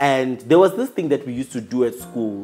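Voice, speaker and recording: Very fast and animated, a man talks. His pitch sits fairly high. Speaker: YouTuber. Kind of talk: casual vlog talk to camera. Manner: loud.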